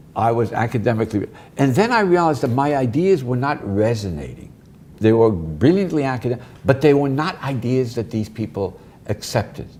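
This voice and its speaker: Intonation is lively as a man speaks at medium pitch. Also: fairly quick pace. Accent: Brooklyn. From US Northeast (Brooklyn, New York). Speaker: professor and author. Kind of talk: interview. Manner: fast.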